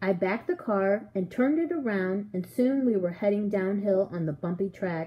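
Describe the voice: Text is read out plainly. The delivery is simple reading aloud.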